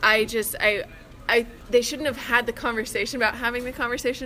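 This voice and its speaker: A woman with an ordinary speaking voice, fairly even intonation and a fairly quick pace. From Texas, Austin. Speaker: podcast guest, fellow podcaster. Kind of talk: casual chat, movie discussion. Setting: movie theater lobby.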